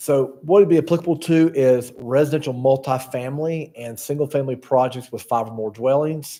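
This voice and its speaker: At a moderate pace, this man uses a normal speaking voice, his medium pitch showing ordinary pitch variation. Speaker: town planner presenting staff report. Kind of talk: staff presentation at council meeting. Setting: town council meeting.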